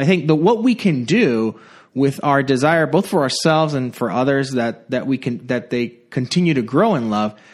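Against a quiet background, a man with a normal speaking voice talks at a moderate pace, his medium pitch carried by lively intonation. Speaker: pastor. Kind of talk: casual chat.

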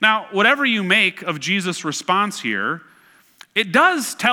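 This is someone reading aloud in a natural voice, with lively intonation.

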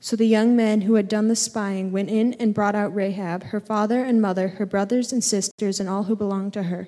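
With hardly any pauses and a fairly quick pace, a woman speaks at medium pitch in a dark, mellow tone, with monotone, flat intonation. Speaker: scripture reader. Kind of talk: reading aloud. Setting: church.

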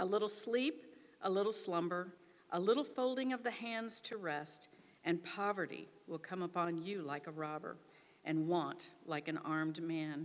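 With a normal speaking voice, a woman talks at a moderate pace and fairly low pitch, her intonation lively. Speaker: scripture reader. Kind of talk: reading aloud.

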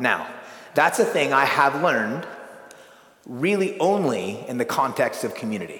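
A man speaks with very wide pitch swings and long, frequent pauses. Noticeable background noise and audible room echo fill the recording. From California. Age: 40s. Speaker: pastor and retreat speaker. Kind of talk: sermon.

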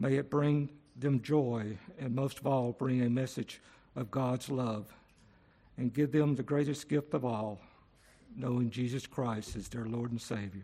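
At a fairly slow pace, a man speaks in a normal speaking voice of medium pitch, with fairly even intonation. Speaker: congregation member leading prayer. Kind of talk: prayer. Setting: church.

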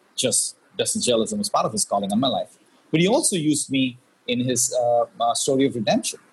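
A man talks at a very fast pace. He leaves long, frequent pauses. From India. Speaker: pastor and former business journalist. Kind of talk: interview.

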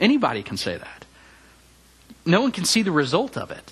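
This man's voice is high-pitched with very wide pitch swings. He speaks at a fairly quick pace. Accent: Tennessee. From Memphis, Tennessee (US South). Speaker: campus minister preaching. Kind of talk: sermon. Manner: hesitant with frequent fillers.

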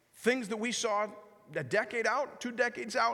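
In a raised, projected voice, a man talks at a moderate pace with audible room echo. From Canada. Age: 40s. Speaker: pastor. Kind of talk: guest sermon in a church, urgent prophetic warning to the congregation. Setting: church service with congregation. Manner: animated, conversational with self-corrections and repetitions.

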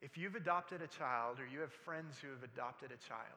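A man speaks at a fairly quick pace with a fairly high pitch. His tone is bright and sharp, and his intonation is lively. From military family, moved around. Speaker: pastor. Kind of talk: sermon. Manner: halting, repeats words.

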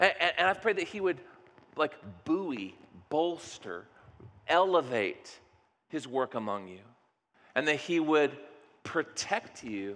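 Loud male speech at a fairly slow pace, with very wide pitch swings. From US Midwest. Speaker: pastor. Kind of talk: sermon. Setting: church.

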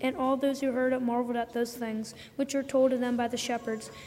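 A woman's high-pitched, monotone voice at a moderate pace, with noticeable background noise. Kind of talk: scripture reading in church service. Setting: church.

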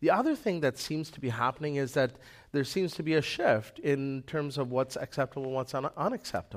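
A man's normal speaking voice with a Canadian accent, fairly high in pitch, with ordinary pitch variation, on a very clean recording against a silent background. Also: fairly quick pace. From Manitoba, Canada. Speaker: lay preacher. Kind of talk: sermon. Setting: church.

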